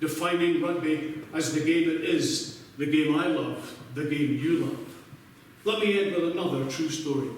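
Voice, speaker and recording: A man with a Scottish accent speaks at a moderate pace and a fairly high pitch, with fairly even intonation, audible room echo and noticeable background noise. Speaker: former teacher, after-dinner speaker. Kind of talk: speech to club audience.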